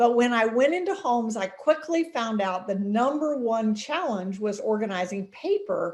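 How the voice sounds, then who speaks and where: A moderate pace with hardly any pauses and very wide pitch swings. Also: woman, fairly high pitch for a woman. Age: 70s. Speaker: business author and organizing expert. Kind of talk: interview.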